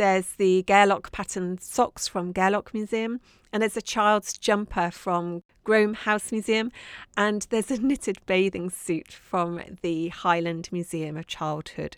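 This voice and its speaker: In a southern English accent, a woman with a warm tone talks at a fairly slow pace, her pitch medium with ordinary variation. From southern England, Dorset. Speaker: podcast host, craft maker. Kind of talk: casual monologue. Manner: warm, chatty.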